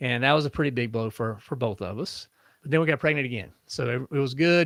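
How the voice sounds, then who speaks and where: A man talks at a fairly quick pace at a medium pitch, with ordinary pitch variation. The sound is dry and close with no echo, a very clean recording over a silent background. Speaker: podcast host. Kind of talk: interview answer. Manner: soft-spoken.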